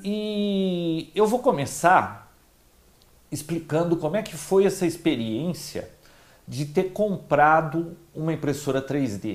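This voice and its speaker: A man's high voice with lively intonation at a very slow pace. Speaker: tech channel host. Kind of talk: casual vlog chat. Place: home room. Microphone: lapel.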